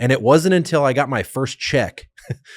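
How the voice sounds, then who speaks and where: A man's plain, everyday voice at a moderate pace with ordinary pitch variation, on a very clean recording with a silent background. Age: 30s. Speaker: podcast host, military veteran. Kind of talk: casual chat. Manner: conversational with frequent fillers.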